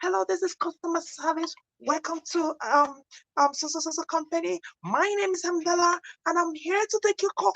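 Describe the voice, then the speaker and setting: A woman uses a put-on character voice, squeaky and extremely high, in an American accent. The pace is moderate. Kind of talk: formal customer service greeting.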